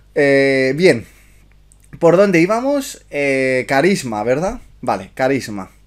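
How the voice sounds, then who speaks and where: Over a quiet background, a man speaks at a very slow pace. His pitch is fairly high and his intonation lively. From Spain. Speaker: miniature painting youtuber and streamer; miniature painting youtuber, streamer. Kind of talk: livestream review chat. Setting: live stream. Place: home room.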